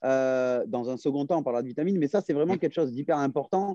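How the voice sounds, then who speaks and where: In a dry, close sound with no echo, a man speaks with a dark, mellow tone and ordinary pitch variation. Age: 30s. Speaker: fitness and nutrition coach. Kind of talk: casual interview. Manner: hesitant, many fillers.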